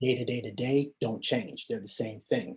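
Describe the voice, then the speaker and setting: This man has a dark, mellow tone and sounds somewhat breathy. He speaks at a medium pitch and a moderate pace. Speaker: call participant. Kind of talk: group call discussion.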